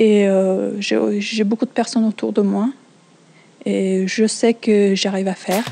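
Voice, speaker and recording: Against noticeable background noise, a woman speaks very slowly at a medium pitch. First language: not French (speaking French). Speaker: French learner. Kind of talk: testimony. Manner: halting, many hesitations.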